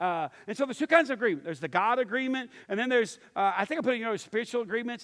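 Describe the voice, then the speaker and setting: Animated in tone, a man speaks with a Texan accent and ordinary pitch variation. The recording is very clean with a silent background. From East Texas. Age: 50s. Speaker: pastor. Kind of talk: sermon.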